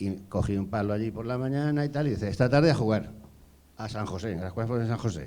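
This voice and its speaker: A man with an ordinary speaking voice, medium in pitch, with ordinary pitch variation and a fairly quick pace. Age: 60s. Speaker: former field hockey goalkeeper. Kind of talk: panel discussion.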